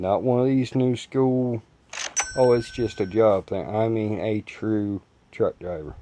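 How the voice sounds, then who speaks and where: Over noticeable background noise, a man speaks at medium pitch and a fairly slow pace with fairly even intonation. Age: 20s. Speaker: gaming youtuber and former truck driver. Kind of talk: gameplay commentary with personal talk. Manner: casual, conversational.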